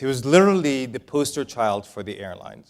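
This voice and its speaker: A man speaks at a medium pitch with lively intonation and a slight Israeli accent. His pace is fairly quick. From Israel, moved to El Paso, Texas at nine. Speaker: business author and keynote speaker. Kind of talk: keynote speech. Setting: stage with audience. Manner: casual, with fillers.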